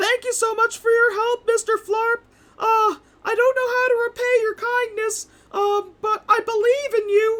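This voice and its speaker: A put-on character voice, female-sounding, at an extremely high pitch, monotone and flat, at a moderate pace. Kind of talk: actual play tabletop game session. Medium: actual play.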